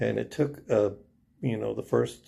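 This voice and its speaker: Speaking at a moderate pace, a man has a fairly low, dark, mellow voice with vocal fry. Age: 60s. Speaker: RV owner. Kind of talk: casual storytelling to camera.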